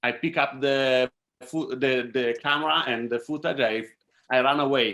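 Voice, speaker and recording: At a moderate pace, a man with an Italian accent speaks at a medium pitch with fairly even intonation and a bright, sharp tone. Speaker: filmmaker. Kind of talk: Q&A panel talk. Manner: halting.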